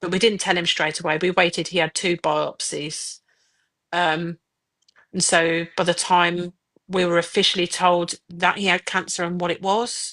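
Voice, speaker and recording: A woman with a Birmingham accent speaks at a moderate pace in a fairly low, bright, sharp voice with monotone, flat intonation, the sound dry and close with no echo against a quiet background. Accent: Birmingham accent, noticeable. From Birmingham, England. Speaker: mother of a child with cancer. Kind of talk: personal testimony in a podcast interview. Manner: hesitant, with fillers and repeats.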